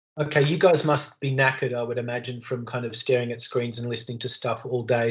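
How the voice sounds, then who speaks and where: A man speaks in an Australian accent. His intonation is monotone and flat. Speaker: university lecturer. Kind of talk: online lecture. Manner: fast; loud.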